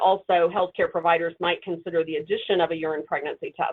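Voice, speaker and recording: A woman with a fairly low pitch speaks at a fairly quick pace, her intonation fairly even. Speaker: clinical trainer. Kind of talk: webinar lecture. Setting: webinar. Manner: fast.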